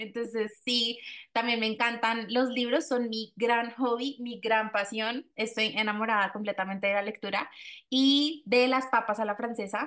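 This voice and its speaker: A woman's fairly high voice at a fairly slow pace, an unremarkable speaking voice with fairly even intonation against a quiet background. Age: 20s. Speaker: podcast host. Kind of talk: casual chat.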